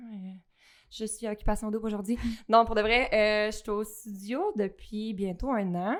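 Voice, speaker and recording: On a very clean recording with a silent background, a woman with a Quebec accent speaks fairly slowly at a fairly high pitch with fairly even intonation. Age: 20s. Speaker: fitness studio operations director. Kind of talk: casual podcast interview.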